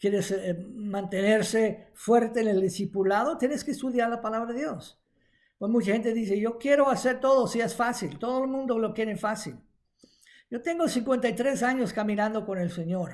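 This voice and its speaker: A man's high-pitched voice at a moderate pace with ordinary pitch variation, on a very clean recording with a silent background. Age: 70s. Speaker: preacher. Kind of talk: sermon. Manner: halting.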